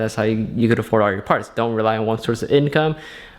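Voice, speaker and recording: Here is a man with a plain, everyday voice. He speaks at a medium pitch with ordinary variation. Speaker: car enthusiast YouTuber. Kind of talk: casual vlog. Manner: casual.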